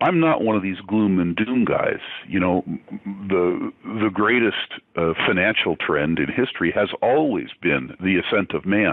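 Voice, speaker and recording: With lively intonation and very even loudness, a man with a fairly low pitch talks at a fairly slow pace. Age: 60s. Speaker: investor and financial analyst. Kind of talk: interview. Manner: halting, many fillers.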